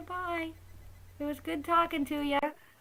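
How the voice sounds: It's a put-on character voice pitched extremely high. The delivery is monotone and flat. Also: moderate pace.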